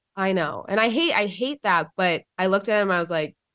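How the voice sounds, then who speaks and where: In a very clean recording with a silent background, a woman talks at a fairly quick pace in a normal speaking voice. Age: 30s. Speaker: podcast host and nurse. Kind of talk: interview.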